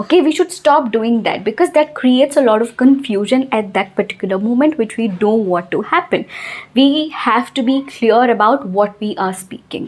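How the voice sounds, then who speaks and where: Over noticeable background noise, a woman with a Telugu accent speaks at a moderate pace in a high voice with lively intonation. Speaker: English teacher. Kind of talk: tutorial.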